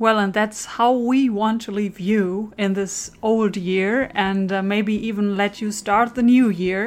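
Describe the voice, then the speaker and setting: A woman speaks in a German accent at a medium pitch. Her pace is fairly slow and her intonation monotone and flat. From Germany. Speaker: podcast host. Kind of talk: scripted narration.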